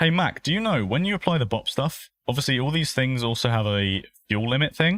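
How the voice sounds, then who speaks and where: In a very clean recording with a silent background and a dry, close sound with no echo, a man with a southern English accent talks at a fairly quick pace with very wide pitch swings. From southern England. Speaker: sim racing streamer. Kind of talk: live stream commentary while sim racing. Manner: casual, chatty.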